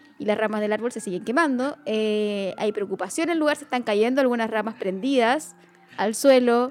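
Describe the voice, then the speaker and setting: A woman speaks in a Chilean accent at a moderate pace. Her pitch is fairly high. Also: ordinary pitch variation. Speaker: podcast co-host. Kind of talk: casual chat.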